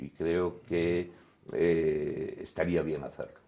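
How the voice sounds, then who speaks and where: This man's voice is very deep and low. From Spain, Galicia (Lugo). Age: 60s. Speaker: sports journalist, former basketball player. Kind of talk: casual interview chat.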